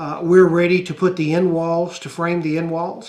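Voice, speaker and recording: With a Southern US accent, a man talks at a moderate pace and a high pitch. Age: 60s. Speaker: YouTuber and small farmer. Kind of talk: casual vlog talk. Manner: halting, many fillers.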